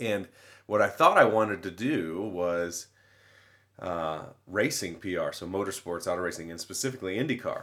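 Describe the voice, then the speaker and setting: A man with an American accent speaks at a moderate pace. His fairly low pitch comes with a bright, sharp tone. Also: ordinary pitch variation, very clean recording, silent background. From Indiana, US Midwest. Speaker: university communications director and mascot handler. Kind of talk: casual interview.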